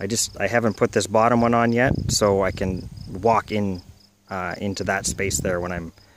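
Recorded dry with no echo but with noticeable background noise, a man speaks at a moderate pace with a fairly low pitch and fairly even intonation. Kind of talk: casual vlog chat. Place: open country. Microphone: phone near.

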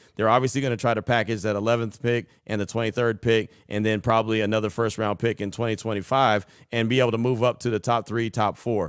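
Quiet surrounds a man who talks at a fairly quick pace. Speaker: sports podcast host. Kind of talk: sports talk show. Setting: studio. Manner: animated. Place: home room. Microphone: studio mic.

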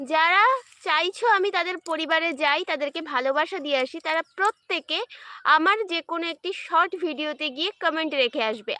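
Raised and projected, a woman's extremely high-pitched voice has a bright, sharp tone and ordinary pitch variation, captured with a dry, close sound and no echo. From West Bengal, India. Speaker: live-stream content creator. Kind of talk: casual livestream chat with viewers. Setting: outdoors in a garden.

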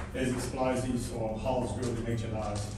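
Amid noticeable background noise and strong room echo, a man speaks at a moderate pace. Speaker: mine tour guide. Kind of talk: guided tour explanation. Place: tunnel cave. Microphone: camera far.

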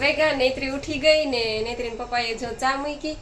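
Audible room echo follows a woman as she speaks. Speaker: family vlogger, mother. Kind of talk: casual vlog and weight-loss tips.

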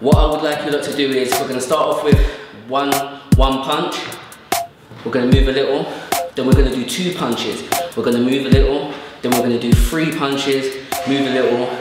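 A man speaks at a fairly quick pace with music in the background. There is audible room echo. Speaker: boxer instructor. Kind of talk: tutorial. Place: studio.

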